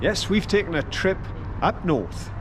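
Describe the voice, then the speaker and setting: Over noticeable background noise, a man talks with lively intonation in a Welsh accent. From Wales. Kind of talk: walking tour narration to camera. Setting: outdoors. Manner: upbeat, enthusiastic.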